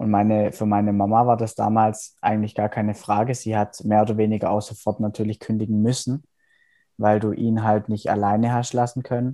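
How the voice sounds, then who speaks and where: Against a quiet background, a man talks fairly quickly at a fairly low pitch. His tone is dark and mellow, his intonation monotone and flat. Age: 20s. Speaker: psychology student. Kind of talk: casual interview.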